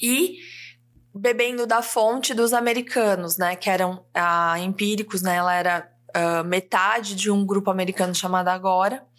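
Very clean, with a silent background, the recording holds a woman's normal speaking voice at medium pitch, moderate pace, very even loudness and fairly even intonation. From interior of São Paulo state, Brazil (Ribeirão Preto). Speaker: copywriter and mentor. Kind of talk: casual interview chat.

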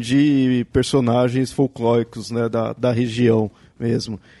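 The speaker is male. A dark, mellow tone colors his voice. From Brazil, Southeast. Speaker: podcast host. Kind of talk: casual chat.

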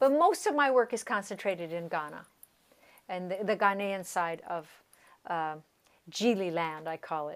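A woman with an American accent at medium pitch, moderate pace and lively intonation, big swings in loudness, long, frequent pauses, and a very clean recording with a silent background. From US West, Colorado (San Luis Valley), Southern Ute. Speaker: percussionist and music professor. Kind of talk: interview conversation.

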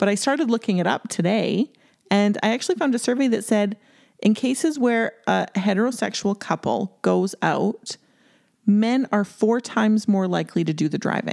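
This woman has an unremarkable speaking voice, talking at a moderate pace with very even loudness and ordinary pitch variation. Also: fairly high pitch for a woman, very clean recording, silent background. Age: 40s. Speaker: podcast co-host. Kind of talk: casual chat.

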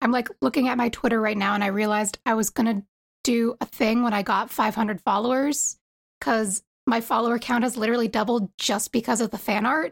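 Speaking with an American accent in a plain, everyday voice, a woman at a fairly high pitch moves at a fairly quick pace with fairly even intonation, on a very clean recording with a silent background. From US East Coast. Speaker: fan artist. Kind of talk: casual chat.

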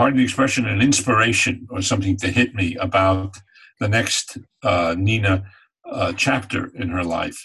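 An American accent marks this man's speech, which moves at a moderate pace with ordinary pitch variation. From upstate New York, Catskill Mountains. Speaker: screenwriter and novelist. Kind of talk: interview. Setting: video call. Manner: halting.

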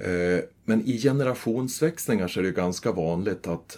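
In a normal speaking voice, a man with fairly low pitch speaks with lively intonation. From Sweden, northern Västmanland. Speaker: forestry and tax advisor. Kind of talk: interview.

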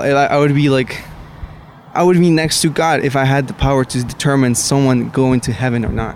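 Noticeable background noise sits behind a man speaking at a fairly quick pace and fairly high pitch. His intonation is fairly even and his loudness very even. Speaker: college student. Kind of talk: casual debate. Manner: halting.

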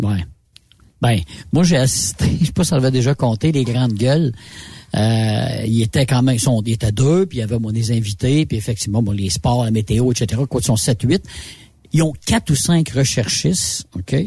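A man speaks in a Quebec accent at a moderate pace, his voice somewhat breathy with a dark, mellow tone. His pitch sits in the medium range, and his intonation is lively. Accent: Québécois French. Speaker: radio host. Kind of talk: casual chat.

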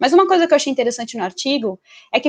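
A woman is speaking here. Her pitch is high. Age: 20s. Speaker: basketball columnist. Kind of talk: casual chat.

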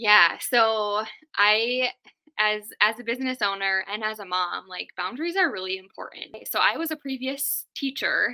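Speaking with a Minnesota accent, a woman has a bright, sharp tone and fairly high pitch. Her pace is fairly slow. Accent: Upper Midwest (Minnesota) American. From Duluth, Minnesota, US Upper Midwest. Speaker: tech virtual assistant, business owner. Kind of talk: casual chat.

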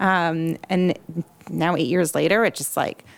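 A woman's fairly low voice with vocal fry and fairly even intonation. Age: 40s. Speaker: podcast host and creative agency founder. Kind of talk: interview conversation. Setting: studio, sitting next to guest.

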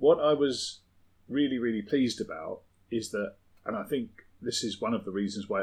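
The speaker has a southern English accent. The pace is fairly quick. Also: man. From southern England. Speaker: podcast co-host. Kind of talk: casual chat. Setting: home shed.

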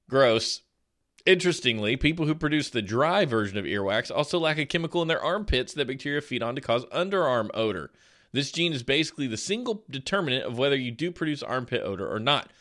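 Speaking at a very fast pace, a man with a fairly high pitch sounds animated, his intonation lively. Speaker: podcast host. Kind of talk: casual chat.

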